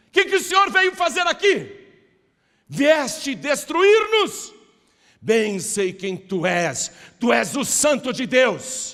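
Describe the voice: A man's put-on character voice, growling, raised and projected, at an extremely high pitch with very wide pitch swings, a very slow pace and long, frequent pauses.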